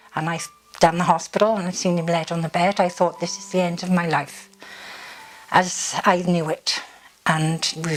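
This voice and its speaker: Someone with a South Welsh accent talks at a moderate pace while noticeable background noise runs underneath. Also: woman. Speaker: partner of stroke survivor. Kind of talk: interview answer.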